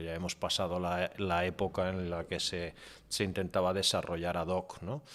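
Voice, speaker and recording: On a very clean recording with a silent background, a man with an English accent talks at a fairly slow pace in a very deep, low pitch. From half English, born in UK, mother English. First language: English (speaking Spanish). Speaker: media executive and digital transformation consultant. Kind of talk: podcast interview. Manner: hesitant with many fillers and repetitions.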